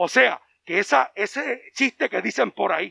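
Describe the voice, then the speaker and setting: A man with an animated, bright and sharp tone, some vocal fry, and a dry, close sound with no echo. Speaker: pastor. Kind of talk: sermon.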